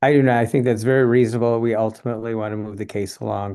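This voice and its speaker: Against a quiet background, a man speaks in a dark, mellow tone with a monotone, flat intonation. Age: 60s. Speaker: attorney. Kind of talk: court hearing. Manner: halting.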